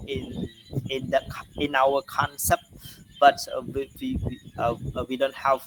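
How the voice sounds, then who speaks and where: Through noticeable background noise, a man with a Cambodian accent speaks at a very slow pace. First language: Khmer. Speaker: university lecturer. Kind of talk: lecture. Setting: online class recording. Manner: halting, many fillers and repetitions.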